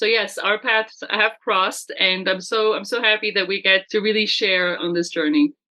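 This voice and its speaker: The speaker talks at a moderate pace with hardly any pauses, in a French accent. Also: woman, fairly high pitch for a woman, ordinary pitch variation. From France. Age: 50s. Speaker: business coach. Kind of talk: casual chat.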